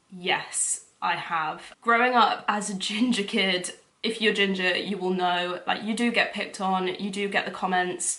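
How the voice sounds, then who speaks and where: A woman's medium-pitched voice at a fairly slow pace, with fairly even intonation, hardly any pauses and audible room echo. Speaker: lifestyle vlogger. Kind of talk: casual Q&A vlog.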